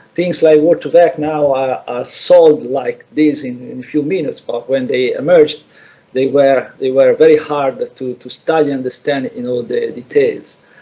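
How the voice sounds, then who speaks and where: An Italian accent at a moderate pace. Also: man. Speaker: lecturer. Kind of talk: lecture. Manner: halting, many repetitions.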